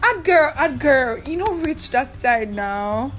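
Speaking fairly slowly, a woman with a high voice sounds animated, her intonation lively. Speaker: podcast host and activist. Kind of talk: solo podcast monologue. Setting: recording alone in her room.

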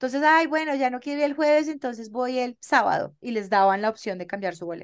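On a very clean recording with a silent background, a woman talks at a fairly quick pace in a high pitch with lively intonation. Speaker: podcast co-host. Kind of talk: casual chat.

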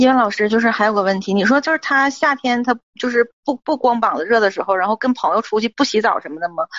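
Very fast delivery with ordinary pitch variation. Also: woman, fairly high pitch for a woman. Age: 30s. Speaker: caller seeking relationship advice. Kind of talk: call-in advice talk. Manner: halting.

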